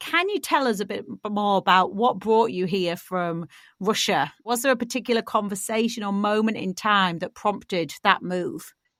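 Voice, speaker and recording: A woman speaks in a British accent at a fairly high pitch, with lively intonation and a moderate pace. The recording is very clean, with a silent background. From Britain. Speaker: podcast host. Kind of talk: scripted intro; interview.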